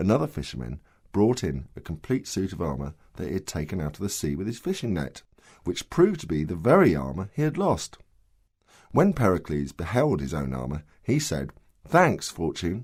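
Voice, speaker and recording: A man with a very deep, low voice and vocal fry talks at a moderate pace with very wide pitch swings, on a very clean recording with a silent background. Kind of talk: audiobook story reading.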